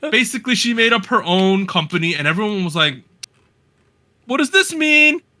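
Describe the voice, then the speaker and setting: In a New Jersey accent, a man talks at a fairly quick pace in a raised, projected voice that is high for a man, bright and sharp in tone, and animated, with very wide pitch swings and long, frequent pauses. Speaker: podcast host. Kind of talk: casual chat. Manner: casual, animated.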